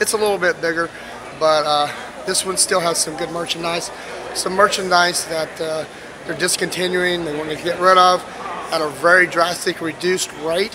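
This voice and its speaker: Amid noticeable background noise, a high-pitched man talks at a moderate pace in a monotone, flat intonation. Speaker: travel vlogger. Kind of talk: casual vlog chat. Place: street. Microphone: phone near.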